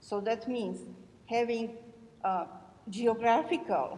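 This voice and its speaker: With a European accent, a woman speaks at a fairly high pitch and with fairly even intonation. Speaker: audience member asking a question. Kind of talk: audience question at panel.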